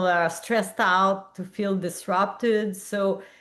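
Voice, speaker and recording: A woman is speaking. She has a Quebec accent. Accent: French-Canadian accent in English. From Quebec, Montreal. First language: French. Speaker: public health physician and researcher. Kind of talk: interview conversation. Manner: halting, many fillers.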